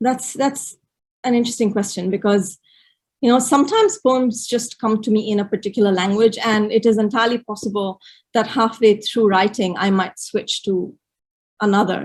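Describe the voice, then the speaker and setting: A woman with a fairly high pitch and a somewhat breathy voice talks at a moderate pace, her intonation fairly even. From India, Gujarat. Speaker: poet. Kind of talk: interview conversation. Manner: halting, many repetitions.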